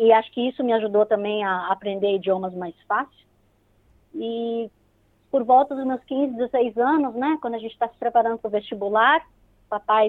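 This woman's pitch sits fairly high, with ordinary variation. She speaks at a moderate pace. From Brazil, São Paulo. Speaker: radio host and pharmacist. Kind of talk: casual interview.

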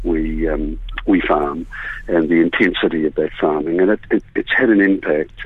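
Noticeable background noise sits under this recording. A man speaks at a moderate pace. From New Zealand, Southland (Gore). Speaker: author and fly fisherman. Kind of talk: radio interview. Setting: phone call.

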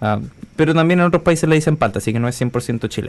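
The pace is very fast. A man delivers it with lively intonation. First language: Spanish. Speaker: radio host. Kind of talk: casual chat.

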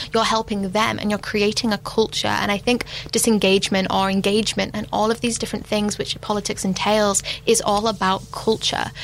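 Over noticeable background noise, the voice moves at a fairly quick pace with monotone, flat intonation. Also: woman, medium pitch for a woman. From United Kingdom. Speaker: youth council member. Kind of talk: panel discussion.

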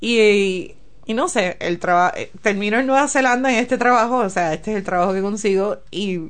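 Moderate pace and ordinary pitch variation in a woman's normal speaking voice, pitched fairly high. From Puerto Rico, San Juan. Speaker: engineer. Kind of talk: interview.

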